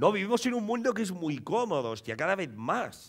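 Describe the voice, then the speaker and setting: A man speaks at a fairly quick pace in an animated tone. His pitch swings very widely. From Catalonia, Premià de Mar; Catalonia. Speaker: comedian. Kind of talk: stand-up. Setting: stage with audience. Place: stage. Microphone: headset.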